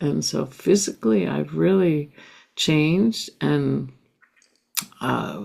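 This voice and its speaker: Very deep and low, with a dark, mellow tone, a woman speaks very slowly with very wide pitch swings and long, frequent pauses. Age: 60s. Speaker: spiritual teacher. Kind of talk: interview.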